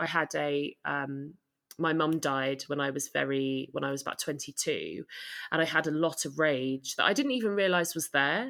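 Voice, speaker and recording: With a southern British accent, a woman speaks at a very deep, low pitch with ordinary pitch variation. The recording is very clean, with a silent background. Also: moderate pace. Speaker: photographer and co-founder of mums support group. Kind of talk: interview, casual conversational.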